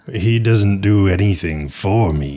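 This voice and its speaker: A man puts on a character voice, fairly low in pitch, and speaks at a fairly slow pace. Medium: actual play. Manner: stilted, formal, deadpan.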